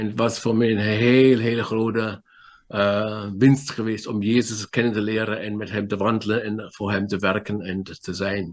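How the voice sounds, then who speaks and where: Over a quiet background, a man speaks fairly slowly at fairly low pitch in a monotone, flat intonation. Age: 60s. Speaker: pastor. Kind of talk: sermon. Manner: halting.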